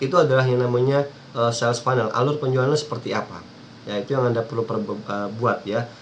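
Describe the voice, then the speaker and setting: A man talking at a very fast clip over noticeable background noise. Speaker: internet marketing coach. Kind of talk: tutorial.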